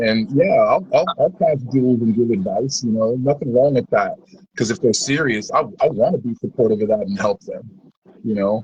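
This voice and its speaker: A somewhat breathy man's voice of medium pitch, with lively intonation at a moderate pace. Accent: American. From Kansas. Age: 40s. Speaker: touring musician. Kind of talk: interview.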